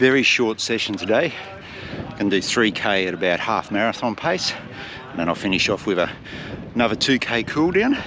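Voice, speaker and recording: In an Australian accent, a man speaks at a fairly quick pace in a relaxed tone with lively intonation. His pitch is medium, and noticeable background noise is present. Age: 50s. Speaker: marathon runner vlogger. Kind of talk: casual vlog narration. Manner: relaxed, conversational.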